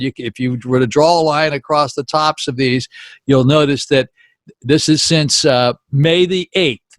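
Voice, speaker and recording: On a very clean recording with a silent background and a dry, close sound with no echo, a man with an American accent and a fairly high pitch speaks at a fairly slow pace with fairly even intonation. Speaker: daily COVID numbers video blogger. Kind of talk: informal data briefing to camera. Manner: conversational, folksy.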